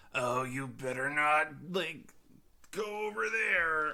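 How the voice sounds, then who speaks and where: Very slow delivery comes in a put-on character voice at a middle pitch. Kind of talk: casual, laid-back. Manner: disgruntled.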